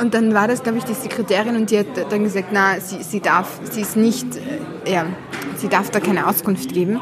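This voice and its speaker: A woman speaks at a medium pitch and moderate pace with fairly even intonation and long, frequent pauses. Audible room echo and noticeable background noise are present. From Syria, Damascus. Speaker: author and illustrator. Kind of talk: interview. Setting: café.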